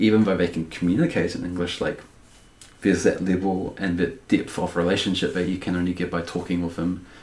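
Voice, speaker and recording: A man's very deep, low voice, fairly quick and delivered in a flat monotone. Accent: New Zealand. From New Zealand. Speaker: law student. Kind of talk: casual interview chat. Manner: filler-heavy, rambling; laughs often.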